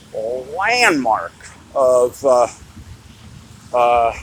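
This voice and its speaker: There is noticeable background noise as a man talks with very wide pitch swings. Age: 60s. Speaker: vlogger. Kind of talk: casual monologue vlog. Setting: outdoors on the street. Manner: hesitant, many fillers.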